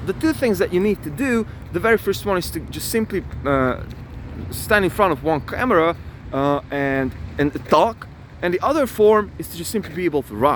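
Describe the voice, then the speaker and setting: The voice moves at a moderate pace with very wide pitch swings and an animated tone over noticeable background noise. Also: man, high pitch for a man. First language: not English. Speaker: self-improvement vlogger. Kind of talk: motivational talk to camera. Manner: halting.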